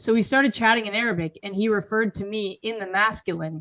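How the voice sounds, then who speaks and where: A woman with an American accent has an ordinary speaking voice at medium pitch. She talks at a fairly quick pace with ordinary pitch variation. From US, progressive city. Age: 20s. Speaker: writer and public speaker. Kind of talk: interview.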